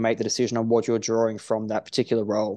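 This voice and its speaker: A man with an Australian accent speaks over a quiet background. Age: 30s. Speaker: strength and conditioning coach. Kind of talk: casual interview. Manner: halting.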